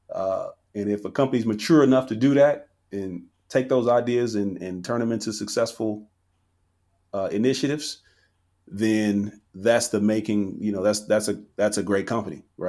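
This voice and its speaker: A man with a plain, everyday voice, fairly low pitch and ordinary pitch variation, fairly quick pace, very clean recording with a silent background. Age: 30s. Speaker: software company founder. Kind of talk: casual interview.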